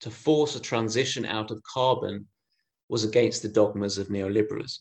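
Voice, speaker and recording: A man with a normal speaking voice talks at a moderate pace, his medium pitch showing ordinary variation. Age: 30s. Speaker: minister. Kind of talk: lecture.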